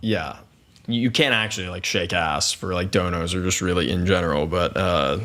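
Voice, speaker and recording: A man with a very deep, low pitch, ordinary pitch variation and a moderate pace, with audible room echo. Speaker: YouTuber and streamer. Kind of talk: podcast interview. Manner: loud.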